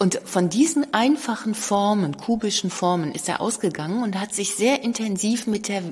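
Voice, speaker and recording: Over noticeable background noise, a woman with a medium-pitched voice speaks at a moderate pace, her pitch swinging very widely. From Cologne. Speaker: museum curator. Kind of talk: interview.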